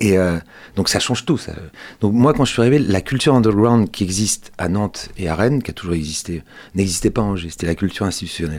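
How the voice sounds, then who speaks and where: Talking at a very fast pace, a man with a fairly low voice shows ordinary pitch variation. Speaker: culture journalist and volunteer radio host. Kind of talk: radio interview. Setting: radio studio. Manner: soft, calm; hesitant.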